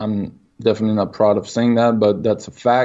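Here a man with a Quebec accent speaks at a medium pitch. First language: French. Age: 20s. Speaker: person in recovery from alcohol. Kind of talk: interview. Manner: halting.

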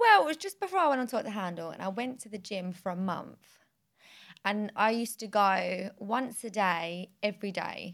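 In a British accent, the speaker goes at a moderate pace with ordinary pitch variation and big swings in loudness. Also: woman, medium pitch for a woman. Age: 20s. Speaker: podcast host. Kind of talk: casual chat.

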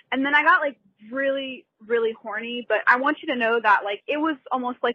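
Talking at a fairly quick pace, a woman uses a high pitch. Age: young. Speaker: college student. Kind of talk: voicemail. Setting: phone call.

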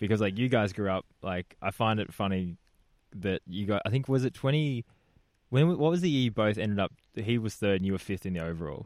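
A man with an Australian accent talks fairly quickly at a fairly low pitch, using lively intonation. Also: dry, close sound with no echo. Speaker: podcast host, mountain bike racer. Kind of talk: casual chat. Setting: campsite, outdoors.

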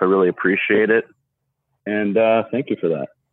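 This man has a plain, everyday voice and an American accent. His pitch is fairly low and his intonation fairly even. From Seattle, US Pacific Northwest. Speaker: caller. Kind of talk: casual chat. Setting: phone call.

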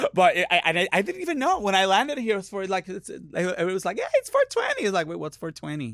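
A man with a Puerto Rican accent talks at a very fast pace over noticeable background noise. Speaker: drag performer. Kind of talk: casual comedic chat. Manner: chatty, loud when high.

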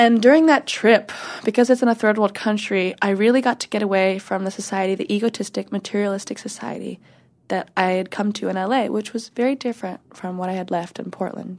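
Against a quiet background, an unremarkable speaking voice with an American accent shows ordinary pitch variation. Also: woman, medium pitch for a woman, fairly quick pace. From US Pacific Northwest, Washington. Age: 20s. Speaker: adult film performer. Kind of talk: casual interview chat.

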